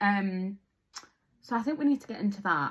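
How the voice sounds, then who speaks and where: A woman at medium pitch speaks with lively intonation and a somewhat breathy quality. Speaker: podcast co-host. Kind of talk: casual chat.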